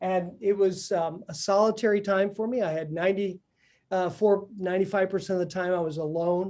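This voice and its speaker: This man talks at a fairly quick pace, his high-pitched voice keeping a fairly even intonation. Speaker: entrepreneur speaker. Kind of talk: talk to an audience.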